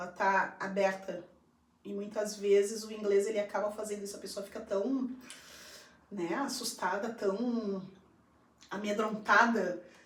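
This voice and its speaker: Speaking at a fairly slow pace with long, frequent pauses, a woman at medium pitch keeps a flat, monotone delivery while her loudness swings widely, with audible room echo and noticeable background noise. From Brazil. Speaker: English teacher and school coordinator. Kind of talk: live stream conversation. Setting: live stream.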